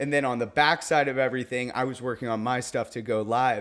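Someone speaks at a moderate pace over music in the background. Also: man. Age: 30s. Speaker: DJ and business owner. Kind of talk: casual chat. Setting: at the host's house.

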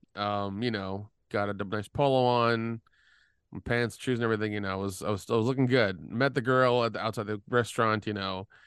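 Fairly quick in pace, a man talks at a fairly low pitch with fairly even intonation. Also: quiet background. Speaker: producer and co-host. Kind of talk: casual chat. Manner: halting, rambling, filler-heavy.

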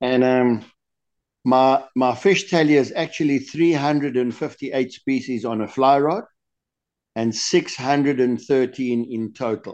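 With a quiet background, a man talks at a fairly slow pace in an ordinary speaking voice, medium in pitch, with ordinary pitch variation. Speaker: lure designer guest. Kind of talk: interview answers, casual chat.

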